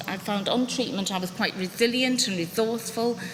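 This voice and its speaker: A woman's fairly high voice at a moderate pace, ordinary pitch variation, over noticeable background noise. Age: 60s. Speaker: patient sharing her story, former teacher. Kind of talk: testimony.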